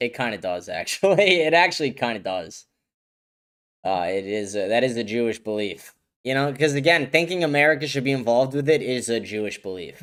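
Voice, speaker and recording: A man talks at a fairly quick pace with very wide pitch swings. The recording is very clean, with a silent background. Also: medium pitch for a man. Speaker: political livestream host. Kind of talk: livestream commentary reacting to chat. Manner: fast.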